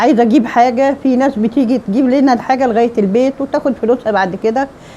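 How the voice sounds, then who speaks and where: A woman speaks fairly quickly, her intonation fairly even, while noticeable background noise sits behind her. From Egypt. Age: 70s. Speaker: retiree. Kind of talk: interview testimony. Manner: halting, with false starts.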